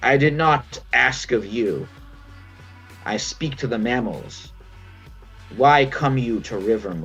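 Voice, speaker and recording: In a put-on character voice, a man sounds croaky at a medium pitch, speaking at a fairly slow pace with long, frequent pauses as clear music plays in the background. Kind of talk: archaic, formal. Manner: formal, archaic.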